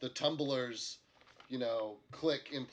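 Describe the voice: The text is read aloud plainly, its pitch varying in an ordinary way.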